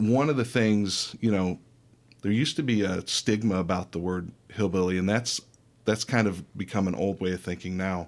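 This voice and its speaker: A man's fairly low voice, a normal speaking voice, with ordinary pitch variation on a very clean recording with a silent background. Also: moderate pace. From Michigan. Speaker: lawyer and author. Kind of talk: interview.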